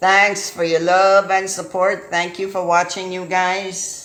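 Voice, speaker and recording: This woman speaks at a very slow pace. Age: 50s. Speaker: property manager and landlord. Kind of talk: casual talk to camera.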